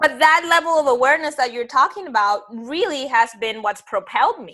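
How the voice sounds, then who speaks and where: Raising and projecting her voice, a woman talks fairly fast in a high, bright, sharp tone, her pitch swinging very widely and her loudness rising and falling sharply. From Dominican Republic. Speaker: online show host. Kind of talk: interview.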